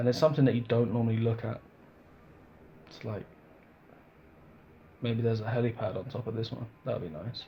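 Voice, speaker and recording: A man with a dark, mellow, somewhat breathy tone and medium pitch talks at a fairly quick pace with fairly even intonation. His loudness swings widely, and he leaves long, frequent pauses. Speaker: gaming youtuber. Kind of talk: casual gameplay commentary. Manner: casual, hesitant with self-corrections.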